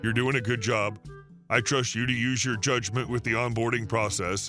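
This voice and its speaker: A man's put-on character voice at a medium pitch and moderate pace, with clear music in the background. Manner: meek, hushed.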